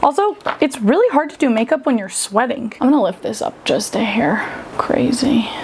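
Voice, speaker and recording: Noticeable background noise runs under this recording. A woman speaks fairly quickly in an American accent. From Southern California. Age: 30s. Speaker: vlogger. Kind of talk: casual chat. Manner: casual, filler-heavy.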